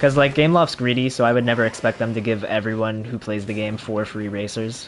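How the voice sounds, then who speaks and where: A man with an American accent, medium pitch and fairly even intonation, at a very fast pace, with noticeable background noise. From Florida. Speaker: gaming streamer. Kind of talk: casual gameplay livestream commentary. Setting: home livestream on console.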